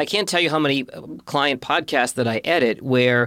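With an unremarkable speaking voice, a man speaks at a medium pitch and ordinary pitch variation. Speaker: podcast host and producer. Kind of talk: interview.

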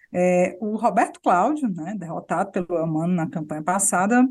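Somewhat breathy female speech at a moderate pace, full of lively intonation. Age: young. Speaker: journalist podcast host. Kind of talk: casual political chat.

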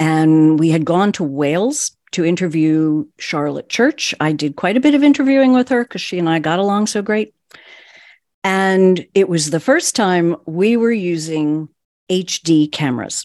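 A woman with a fairly low pitch talks at a fairly slow pace, her voice making very wide pitch swings. The sound is dry and close with no echo, over a quiet background. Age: 60s. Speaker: broadcast journalist and voiceover artist. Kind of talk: interview recounting her career.

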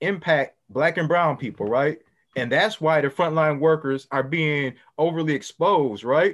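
Over a quiet background, a man speaks in a fairly high voice. His pace is moderate and his pitch variation ordinary. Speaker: social work lecturer. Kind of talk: community panel discussion.

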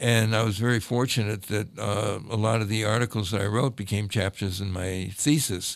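A man's fairly low-pitched, moderately paced speech with an American accent, fairly even intonation and hardly any pauses. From Cleveland, Ohio. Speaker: archivist and collector. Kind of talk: interview conversation. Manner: hesitant, many fillers.

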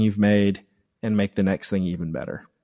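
This man has a plain, everyday voice with an American accent, fairly low in pitch and fairly even in intonation. The sound is dry and close with no echo, over a quiet background. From US South, upstate South Carolina. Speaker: filmmaker. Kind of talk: interview.

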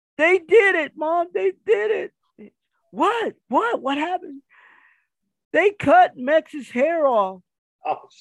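At a very slow pace with long, frequent pauses, a man with an American accent speaks at an extremely high pitch with very wide pitch swings, in a dry, close sound with no echo. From Kansas City. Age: 50s. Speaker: professional wrestler. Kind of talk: casual chat.

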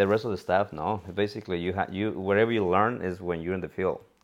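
Speaking at a fairly quick pace with a Mexican accent, a man keeps his fairly low voice monotone and flat. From Mexico, Cuernavaca, Morelos. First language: Spanish. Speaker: real estate investor. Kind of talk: casual interview.

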